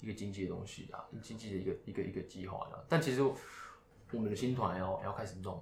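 A man with a fairly low, somewhat breathy voice races along at a very fast pace with hardly any pauses and ordinary pitch variation. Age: 20s. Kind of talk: casual chat. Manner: halting, many fillers.

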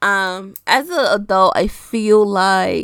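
A woman's animated tone comes through on a very clean recording against a silent background. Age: 20s. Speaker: podcast host. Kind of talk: casual solo monologue.

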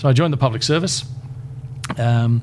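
Noticeable background noise sits behind a man talking with an Australian accent. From Queensland, Australia. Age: 60s. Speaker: community chaplaincy leader. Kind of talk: interview.

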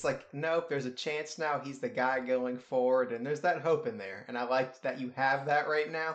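A man with a plain, everyday voice, fairly high in pitch, talks at a moderate pace with ordinary pitch variation. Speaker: sports podcast host. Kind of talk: casual chat.

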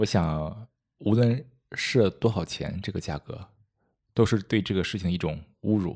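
A man at fairly low pitch with ordinary pitch variation, a moderate pace and long, frequent pauses, in a very clean recording with a silent background. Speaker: meditation course designer and guide. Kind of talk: casual interview chat.

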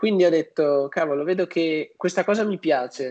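A plain, everyday voice at a moderate pace, dry and close with no echo. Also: man. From northern Italy, Padua. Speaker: youtuber on personal finance. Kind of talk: interview.

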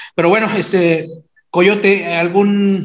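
A man speaks high in pitch at a fairly slow pace. His intonation stays fairly even, and the room echo is audible. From Mexico, San Luis Potosí and Mexico City. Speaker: podcast host. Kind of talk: casual chat.

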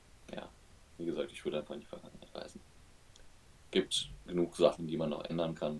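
This man talks very fast. His voice is very deep and low. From western Germany, Oberbergisches Land. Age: 20s. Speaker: podcast co-host. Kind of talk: casual chat.

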